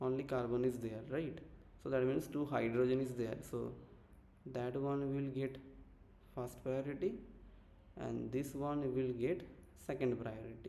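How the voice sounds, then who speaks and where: A man speaks with a dark, mellow tone and ordinary pitch variation. The room echo is audible. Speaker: chemistry teacher. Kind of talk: online lecture.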